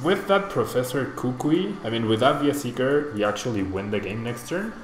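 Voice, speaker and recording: Music plays in the background, and audible room echo surrounds a man with a Spanish accent. He speaks at a fairly quick pace in a medium pitch. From Mexico. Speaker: streamer. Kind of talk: live gameplay commentary; casual chat answering viewers. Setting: live stream. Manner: casual, thinking aloud.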